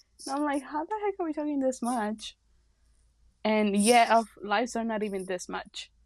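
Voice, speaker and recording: Someone speaks at a moderate pace in a Mexican accent over a quiet background. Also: woman, long, frequent pauses. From Mexico. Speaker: podcast co-host. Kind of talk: casual chat.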